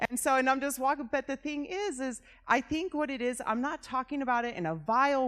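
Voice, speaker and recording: A loud, animated female voice in a very clean recording with a silent background. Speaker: pastor. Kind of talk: seminar talk.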